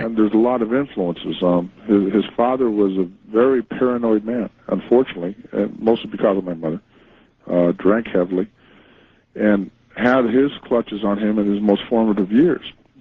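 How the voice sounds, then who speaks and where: A man with a fairly low pitch uses an ordinary speaking voice, talking at a moderate speed with normal pitch movement. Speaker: author, interview guest. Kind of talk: radio interview answer, true crime story.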